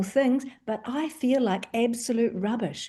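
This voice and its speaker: With a New Zealand accent, a woman speaks at a fairly high pitch in a dark, mellow tone. The background is quiet. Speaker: doctor. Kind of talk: panel discussion.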